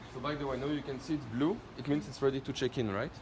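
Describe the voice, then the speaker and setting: A man with a French accent speaks at a fairly high pitch with ordinary pitch variation. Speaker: product presenter. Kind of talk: product demonstration.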